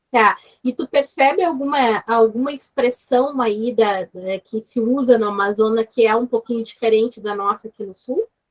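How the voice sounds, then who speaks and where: A woman's a plain, everyday voice, fairly high in pitch, at a moderate pace with big swings in loudness, in a dry, close sound with no echo. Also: ordinary pitch variation. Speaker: university lecturer. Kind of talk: online seminar discussion.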